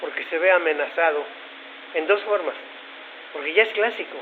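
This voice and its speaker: High-pitched male voice at a moderate pace, with audible room echo and noticeable background noise. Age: 70s. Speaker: conference speaker. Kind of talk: lecture.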